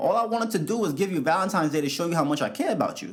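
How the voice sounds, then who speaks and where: Animated male voice with a New York accent. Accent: New York City English. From US Northeast, New York City (South Bronx). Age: 20s. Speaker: podcast host. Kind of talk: solo podcast monologue.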